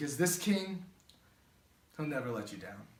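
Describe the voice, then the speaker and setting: Somewhat breathy, a man talks at a fairly high pitch with very wide pitch swings. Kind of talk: spoken word poetry. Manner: earnest, reflective.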